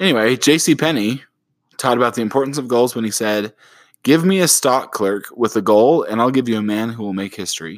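A man speaks at a fairly quick pace with a medium pitch and lively intonation, in an unremarkable speaking voice, on a very clean recording with a silent background. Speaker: parenting podcast co-host. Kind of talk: casual chat.

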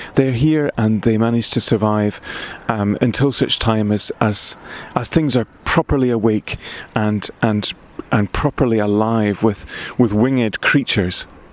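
A man with a Scottish accent, fairly even intonation and very even loudness, in a dry, close sound with no echo but noticeable background noise. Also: medium pitch for a man, fairly slow pace. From Scotland, Highland Perthshire. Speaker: poet. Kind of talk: casual chat; reading aloud.

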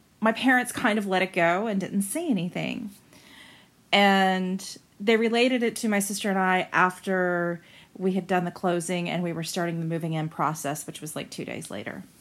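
A woman with an American accent speaks in a plain, everyday voice at a medium pitch. Her pace is moderate and her pitch variation ordinary. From Central Florida. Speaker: listener sharing a ghost story. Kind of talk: personal testimony.

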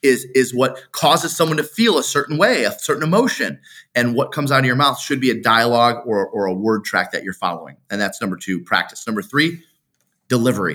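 With an American accent, a man speaks at a very fast pace in a bright, sharp tone with vocal fry. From Metro Detroit, Michigan. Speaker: real estate agent and coach. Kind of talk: interview, instructional talk. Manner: animated, passionate.

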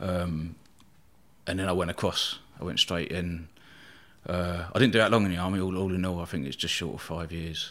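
With a southern English accent, a man speaks at a fairly quick pace in a very deep, low pitch, his intonation fairly even and broken by long, frequent pauses. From southern England, East Sussex. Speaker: bodyguard and former soldier. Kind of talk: casual interview.

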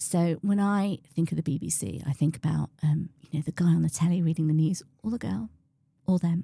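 Somewhat breathy and fairly low-pitched, a woman talks at a fairly quick pace with ordinary pitch variation. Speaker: chief medical officer, physician. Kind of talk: interview answers. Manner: halting, many fillers.

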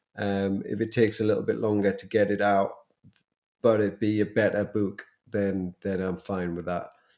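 A man with a British accent speaks in a fairly low pitch at a moderate pace, his intonation monotone and flat. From United Kingdom. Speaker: podcast co-host, videographer. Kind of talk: casual chat.

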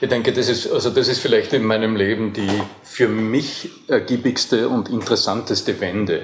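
A man talks with hardly any pauses over noticeable background noise. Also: moderate pace. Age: 50s. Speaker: voice coach. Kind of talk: interview. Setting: hotel.

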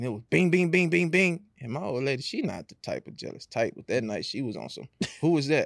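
A man with an American accent, at a fairly quick pace. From Houston area, Texas. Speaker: custom shoe artist, guest. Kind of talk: casual interview.

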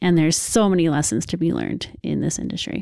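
Calm in tone, a woman with an American accent speaks at a fairly quick pace and a fairly low pitch. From Northern California (Lodi). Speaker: chef. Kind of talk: interview. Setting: guest's home.

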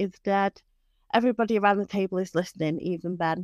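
A woman speaks in a normal speaking voice at medium pitch and a fairly quick pace. The sound is dry and close with no echo, over a quiet background. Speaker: podcast co-host. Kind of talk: casual chat.

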